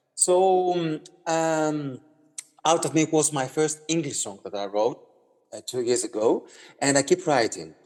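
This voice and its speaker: Speaking at a fairly slow pace with a Greek accent, a man with a fairly high pitch uses ordinary pitch variation, long, frequent pauses and big swings in loudness. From Greece. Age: 30s. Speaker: singer-songwriter. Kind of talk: interview. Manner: halting, many fillers and repeats.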